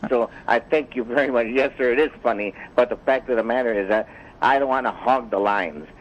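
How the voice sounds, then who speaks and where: With a normal speaking voice, a man talks at a fairly quick pace and a medium pitch, his pitch varying in an ordinary way. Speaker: caller. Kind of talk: phone call-in question.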